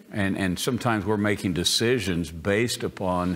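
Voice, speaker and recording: Pitched fairly low, a man talks in a plain, everyday voice with ordinary pitch variation. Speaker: pastor. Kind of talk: sermon. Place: church.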